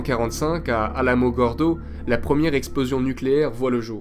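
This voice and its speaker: Over music in the background and audible room echo, a man talks at a fairly quick pace with lively intonation. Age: 20s. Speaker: student history narrator. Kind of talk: scripted narration.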